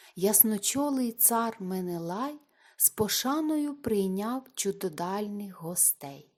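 Someone reads in a natural voice. Intonation rises and falls in a lively way.

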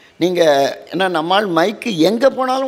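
This is a man speaking. His pitch is high. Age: 70s. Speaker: religious orator. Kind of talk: devotional lecture. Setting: temple hall with audience. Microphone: handheld.

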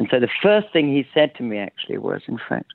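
Here a man speaks with an English accent. His pace is fairly quick. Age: 60s. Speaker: sound artist. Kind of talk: interview.

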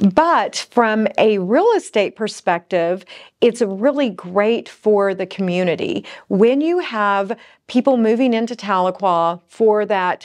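A woman speaks at a very slow pace with lively intonation against a quiet background. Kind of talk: casual vlog chat. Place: studio.

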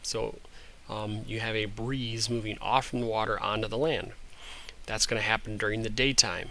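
With an American accent, a man talks at a medium pitch and a moderate pace in a bright, sharp tone. His intonation is monotone and flat, and there is audible room echo. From Michigan, US (Osceola County). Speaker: teacher. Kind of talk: lecture. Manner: halting.

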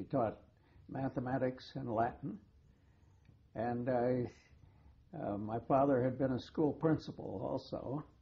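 Speaking with an American accent, a man sounds somewhat breathy, moving at a fairly slow pace with fairly even intonation and long, frequent pauses. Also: medium pitch for a man. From US West Coast (Portland, Oregon). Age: 80s+. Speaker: retired journalist. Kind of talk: oral history interview. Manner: halting, with many fillers and repeats.

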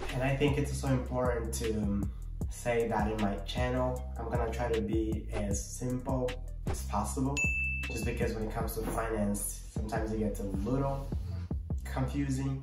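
Moderate pace, audible room echo and clear music in the background. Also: man. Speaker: budget analyst. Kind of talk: casual talk to camera. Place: home room. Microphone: phone near.

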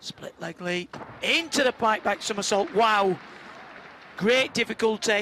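Over crowd noise, a high-pitched man talks fairly slowly with ordinary pitch variation, big swings in loudness, and long, frequent pauses. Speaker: live gymnastics commentator. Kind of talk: live sports commentary. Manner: running play-by-play, clipped exclamations.

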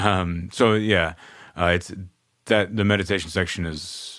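This man talks at a fairly slow pace with an American accent. His intonation stays fairly even. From Texas, Austin. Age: 30s. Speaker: podcast host and musician. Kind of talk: casual chat.

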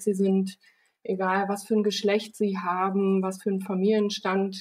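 In a monotone, flat intonation, a woman speaks at a medium pitch and a fairly slow pace. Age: 30s. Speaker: company founder and managing director. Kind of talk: interview.

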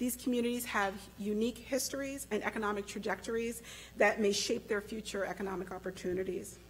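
A woman's vocal fry at a fairly quick pace, fairly even intonation, and light background noise. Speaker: conference host giving opening remarks. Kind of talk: opening speech. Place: hall. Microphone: podium.

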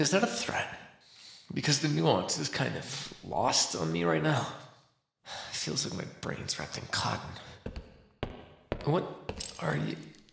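In a put-on character voice, a man speaks slowly at a fairly high pitch with vocal fry, big pitch swings, and long, frequent pauses. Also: fairly bright tone.

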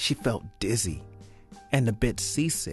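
The man speaks very slowly. Behind him, music plays. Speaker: actor. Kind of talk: read story narration.

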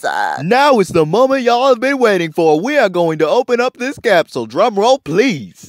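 This put-on character voice drawls at a moderate pace with very wide pitch swings. The sound is dry and close with no echo. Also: man, extremely high pitch for a man. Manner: hammy, folksy drawl.

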